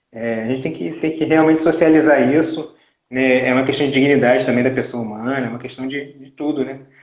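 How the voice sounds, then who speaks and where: A man at a medium pitch speaks at a fairly quick pace with fairly even intonation, his loudness swinging widely amid audible room echo. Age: 40s. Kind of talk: casual live chat. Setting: online live stream. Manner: halting, repeats words.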